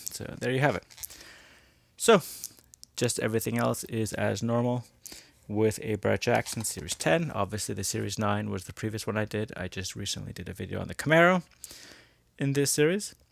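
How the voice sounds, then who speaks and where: A man's fairly low voice at a fairly quick pace, with lively intonation and long, frequent pauses. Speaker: toy car reviewer. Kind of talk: unboxing review. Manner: mumbling.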